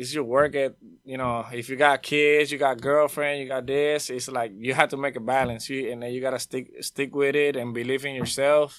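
Barely pausing, a man with a Spanish accent speaks in a monotone, flat intonation. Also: medium pitch for a man, moderate pace. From Puerto Rico. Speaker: audio engineer. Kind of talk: casual interview.

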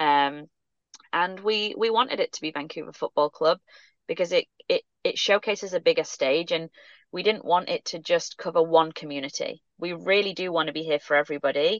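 A woman's fairly low voice with an English accent, ordinary pitch variation, and a fairly quick pace. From England. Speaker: sports club marketing executive. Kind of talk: interview.

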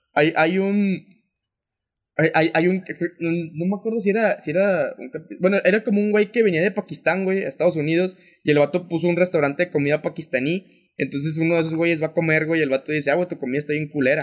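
A man's high-pitched voice races along at a very fast rate. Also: ordinary pitch variation. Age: 20s. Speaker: podcast co-host. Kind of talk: casual chat.

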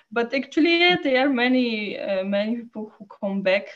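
A woman speaks with a Polish accent. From Poland. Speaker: photojournalist. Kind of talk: interview. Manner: halting.

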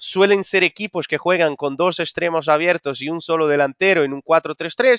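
A man with a Portuguese accent and a high voice, at a moderate pace with hardly any pauses and ordinary pitch variation. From Brazil. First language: Portuguese (speaking Spanish). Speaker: football coach. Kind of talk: interview. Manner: halting, with many repetitions.

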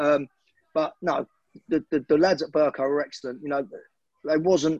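The sound is dry and close with no echo as a man with a fairly high pitch talks at a moderate pace. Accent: southeast English. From Hertfordshire, England (Hemel Hempstead). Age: 40s. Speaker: football manager and former player. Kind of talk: interview.

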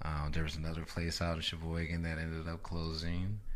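Audible room echo surrounds this recording. The man speaking has a very deep, low pitch. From Chicago, US Midwest. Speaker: DJ. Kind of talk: casual interview.

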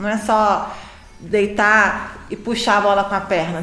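A woman talks at a medium pitch. Noticeable background noise and audible room echo surround her. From Niterói, Brazil. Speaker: physiotherapist. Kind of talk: casual health podcast interview.

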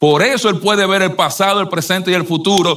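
The man's voice is high-pitched with a bright, sharp tone. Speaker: preacher. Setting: church. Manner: earnest, persuasive preaching.

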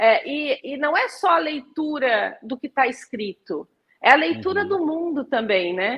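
This is a woman's voice, pitched high. She keeps to an even, moderate tempo. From Brazil, moved around (Rio de Janeiro, Paraná, Mato Grosso). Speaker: archaeologist and university researcher. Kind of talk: interview conversation.

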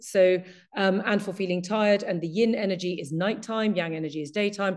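With an English accent, a woman talks with ordinary pitch variation over a quiet background. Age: 50s. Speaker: Chinese medicine practitioner. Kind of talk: casual chat.

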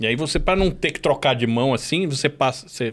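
At a fairly quick pace, a man speaks in a plain, everyday voice with lively intonation. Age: 40s. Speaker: podcast co-host. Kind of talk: casual chat. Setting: studio.

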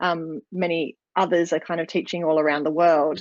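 A woman's fairly low voice with an Australian accent, moderate in pace with ordinary pitch variation, dry and close with no echo against a quiet background. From Australia, rural New South Wales. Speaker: dance school principal and business coach. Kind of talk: interview.

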